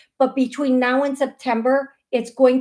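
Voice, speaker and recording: Speaking at a fairly slow pace, a woman with an American accent uses a high pitch and an animated tone. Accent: American accent noted by caller. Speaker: psychic medium show host. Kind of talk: live call-in psychic readings. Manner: animated, repetitive.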